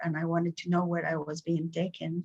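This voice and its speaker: A woman's somewhat breathy voice moves at a fairly quick pace in a dry, close sound with no echo. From Peru, Cusco. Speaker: spiritual teacher. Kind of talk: interview.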